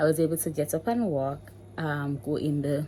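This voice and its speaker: A woman speaks with a Jamaican accent at a very deep, low pitch. Her tone is dark and mellow. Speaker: mommy vlogger. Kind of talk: casual vlog talk. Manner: code-switching between standard English and patois.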